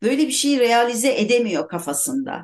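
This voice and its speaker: A woman talks with vocal fry. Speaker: writer. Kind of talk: casual chat.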